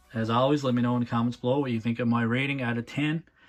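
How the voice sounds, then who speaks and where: Over music in the background, a man speaks at medium pitch with monotone, flat intonation. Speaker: toy reviewer. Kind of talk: unboxing review. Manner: casual, hesitant with fillers.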